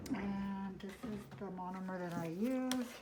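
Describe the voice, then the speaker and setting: A woman speaks at a fairly slow pace and medium pitch. Room echo is audible. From US (born Mexico, raised in US from infancy). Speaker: nail technician vlogger. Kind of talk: tutorial. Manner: hesitant, many fillers.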